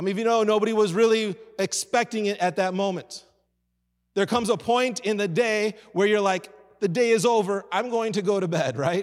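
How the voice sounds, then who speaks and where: A man speaks with a high pitch and an American accent. His pace is fairly quick. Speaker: pastor. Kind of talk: sermon. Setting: church. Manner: animated.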